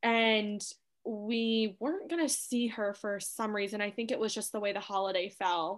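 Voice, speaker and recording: A woman with an ordinary speaking voice talks at a moderate pace. Her pitch is fairly high, with ordinary variation. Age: 20s. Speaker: stepmother sharing her experience. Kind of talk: casual chat. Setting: remote call.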